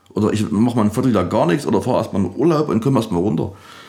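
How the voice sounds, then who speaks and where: A man is talking here. His pace is very fast. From Saxony, Erzgebirge (Annaberg area). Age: young. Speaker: DJ and music producer. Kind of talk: casual interview. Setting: music studio lounge.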